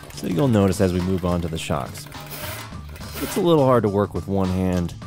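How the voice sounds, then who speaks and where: With clear music in the background and a dry sound with no echo, a man talks at a very fast pace in a very deep, low pitch. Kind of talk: casual tutorial commentary. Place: garage. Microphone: phone near.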